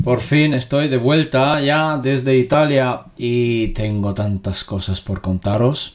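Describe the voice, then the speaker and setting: With ordinary pitch variation, a man speaks very slowly while the background remains quiet. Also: hardly any pauses. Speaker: spiritual guide and video host. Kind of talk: casual talk to camera. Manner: friendly, informal. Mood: cheerful, smiling. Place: home room. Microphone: studio mic.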